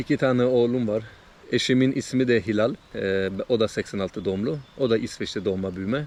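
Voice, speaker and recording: The man speaks in a medium pitch, keeping a moderate pace and ordinary pitch variation. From Sweden, Trollhättan (Turkish parents). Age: 30s. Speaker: vlogger. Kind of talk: casual vlog monologue. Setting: outdoors by a lake in a forest. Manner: casual, hesitant with many fillers.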